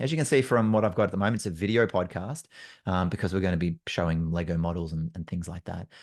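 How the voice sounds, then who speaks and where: Against a quiet background, a man with an Australian accent and a very deep, low pitch talks at a very fast pace. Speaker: facilitator and trainer. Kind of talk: solo podcast monologue. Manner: casual, many fillers. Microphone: good mic.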